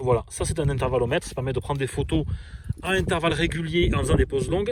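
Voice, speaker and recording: A man with a fairly high voice talks while clear background noise carries on around him. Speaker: storm chaser vlogger. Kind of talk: outdoor vlog, gear tutorial. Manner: fast; casual, many hesitations.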